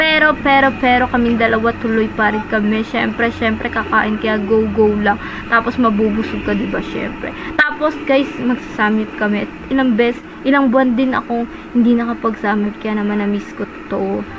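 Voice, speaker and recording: A woman at a fairly high pitch, with ordinary pitch variation, a moderate pace, and noticeable background noise. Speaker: food vlogger. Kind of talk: casual vlog narration. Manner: loud; animated.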